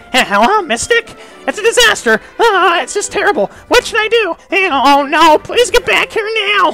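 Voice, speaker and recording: A man's put-on character voice at a moderate pace, with faint music in the background. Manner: panicked, distressed.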